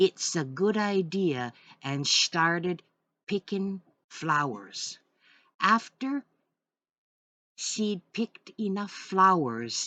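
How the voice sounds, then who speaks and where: A woman puts on a raspy character voice in a Manitoba accent, her medium pitch swinging very widely. She talks at a very slow pace with long, frequent pauses, and the sound is dry and close with no echo. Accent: Red River Bungi dialect of English. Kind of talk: folk tale reading in dialect.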